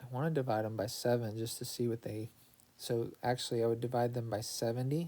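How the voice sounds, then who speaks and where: A man in a normal speaking voice talks fairly quickly at a medium pitch. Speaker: math teacher. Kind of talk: tutorial.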